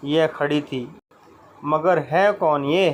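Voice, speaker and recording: A man speaks with a fairly high pitch. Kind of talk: comic audio narration with character voices. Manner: dramatic, suspenseful storytelling.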